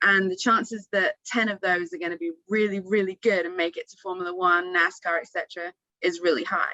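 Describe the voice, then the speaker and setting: With an English accent, a woman of medium pitch talks at a fairly quick pace with hardly any pauses, fairly even intonation and big swings in loudness, in a dry, close sound with no echo. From England. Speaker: former racing driver. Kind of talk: panel discussion.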